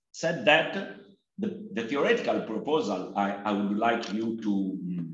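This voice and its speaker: Speaking with an Italian accent, a man talks at a fairly slow pace from a medium pitch. His pitch swings very widely, and room echo is audible. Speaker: sociology professor. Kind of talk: academic presentation. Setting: video call.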